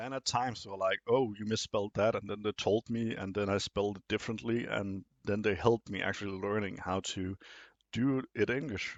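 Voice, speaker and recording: A man with a non-native accent talks at a fairly quick pace, his fairly low voice carrying fairly even intonation. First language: not English. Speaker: video essay host. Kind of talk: monologue commentary. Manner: some hesitations and fillers.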